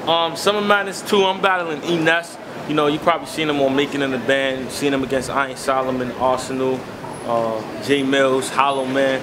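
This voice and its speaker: Background noise is noticeable as a man speaks at a fairly quick pace. His pitch is fairly high, with ordinary variation. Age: 20s. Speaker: battle rapper; interviewee. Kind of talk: casual interview. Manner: casual, filler-heavy. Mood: relaxed, thoughtful. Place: street.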